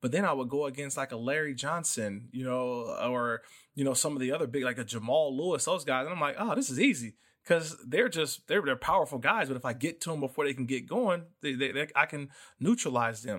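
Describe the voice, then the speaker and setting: A man with an American accent speaks at a fairly quick pace in a plain, everyday voice, his fairly high pitch showing ordinary variation. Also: very clean recording, silent background. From Oakland, California. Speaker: football analyst and former NFL player. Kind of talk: casual sports podcast chat.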